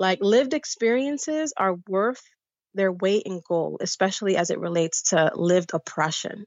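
In a normal speaking voice with an American accent, a woman speaks at a moderate pace with a medium pitch and lively intonation. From New York City, South Bronx. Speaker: community organizer and congressional candidate. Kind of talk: interview.

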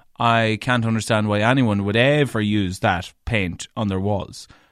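The speaker has a strong northwestern Irish accent. The recording is very clean and silent behind the voice, with a dry, close sound and no echo. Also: man. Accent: thick rural Irish (northwest). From Ireland, County Leitrim. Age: 30s. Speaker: radio broadcaster and DJ. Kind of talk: solo podcast monologue. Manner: animated, chatty storyteller.

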